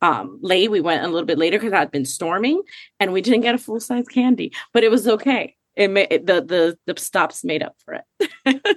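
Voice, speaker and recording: Speaking in a Miami accent, the voice has an animated tone and lively intonation at a fairly quick pace. The sound is dry and close, with no echo. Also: woman. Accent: Miami American English. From Puerto Rico, raised in Miami. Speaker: social media community co-founder. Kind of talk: casual chat.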